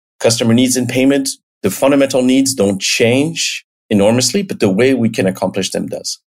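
A man with a French accent talks at a fairly quick pace, his medium pitch showing ordinary variation. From France, the Alps. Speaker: payments company executive. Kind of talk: interview.

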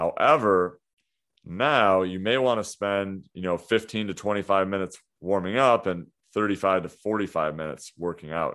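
At a moderate pace, a man uses an ordinary speaking voice, fairly low in pitch, with ordinary pitch variation. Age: 30s. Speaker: fitness coach and podcast host. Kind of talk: solo podcast monologue. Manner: casual, with frequent fillers.

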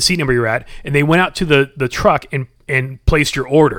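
An animated man with a bright, sharp tone and ordinary pitch variation, on a very clean recording with a silent background. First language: sign language. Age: 40s. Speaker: gym member. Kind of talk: casual chat.

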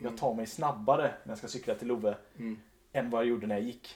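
This man talks very fast at a medium pitch, with fairly even intonation. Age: 30s. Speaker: entrepreneur, behavior change company leader. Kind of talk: casual interview chat.

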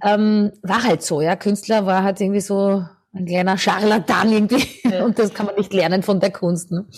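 A woman's somewhat breathy voice comes at medium pitch and a moderate pace with fairly even intonation. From Austria, Lower Austria (near St. Pölten). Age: 50s. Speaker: singer and vocal coach. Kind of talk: interview.

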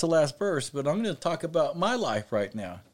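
Heard on a very clean recording with a silent background, a man speaks at a moderate pace. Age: 40s. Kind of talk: Bible study podcast with personal testimony. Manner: halting, with repeated words.

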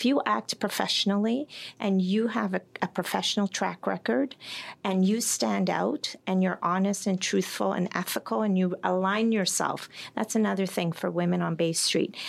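A woman with a Canadian accent, a normal speaking voice, medium pitch, very even loudness and a moderate pace. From Toronto, Canada. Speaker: sales executive. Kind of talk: interview. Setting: studio.

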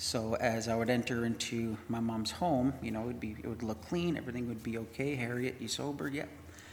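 There is audible room echo as a man of medium pitch speaks at a fairly quick pace with ordinary pitch variation. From Winnipeg, Canada. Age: 30s. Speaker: mission program graduate. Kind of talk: testimony.

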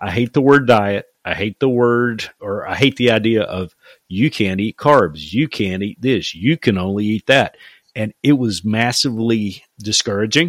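With an ordinary speaking voice of medium pitch, a man talks at a fairly slow pace with ordinary pitch variation in a dry, close sound with no echo. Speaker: podcast host. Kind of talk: casual interview chat.

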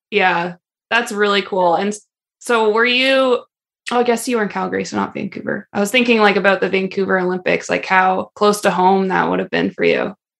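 An unremarkable speaking voice with fairly even intonation. It moves at a fairly quick pace. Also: woman, medium pitch for a woman. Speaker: podcast host and ski coach. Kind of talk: casual interview chat.

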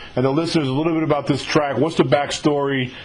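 A very fast American accent over noticeable background noise. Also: man. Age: 50s. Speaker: podcast interviewer. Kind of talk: casual interview.

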